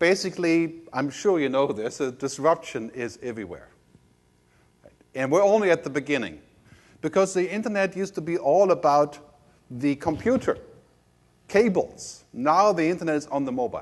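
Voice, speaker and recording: The pace here is fairly quick. A man delivers the words with ordinary pitch variation. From Germany. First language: German. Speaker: media futurist keynote speaker. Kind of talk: conference keynote. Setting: stage with audience. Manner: fast.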